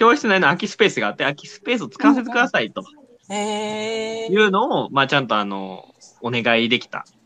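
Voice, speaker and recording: Speaking fairly quickly, the man shifts between loud and soft in big swings. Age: 20s. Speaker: company executive and educator. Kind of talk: casual chat.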